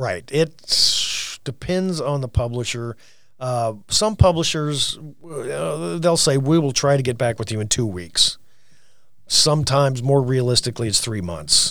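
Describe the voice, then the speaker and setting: In an American accent, a man speaks at a fairly slow pace with a medium pitch and very wide pitch swings, on a very clean recording with a silent background. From rural Missouri, US Midwest. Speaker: journalism instructor. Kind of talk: casual interview. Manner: halting, many fillers and restarts.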